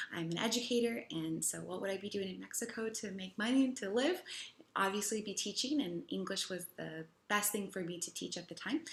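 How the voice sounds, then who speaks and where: In a Chicago accent, a woman talks fairly quickly at a medium pitch, with vocal fry and ordinary pitch variation. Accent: Chicago American English. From US Midwest, Chicago. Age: 20s. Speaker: English teacher. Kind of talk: personal testimonial.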